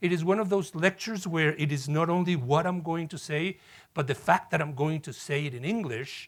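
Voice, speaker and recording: On a very clean recording with a silent background, a man with a Spanish accent talks fairly quickly at a fairly high pitch, with ordinary pitch variation. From Mexico City, Mexico. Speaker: professor. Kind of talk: lecture.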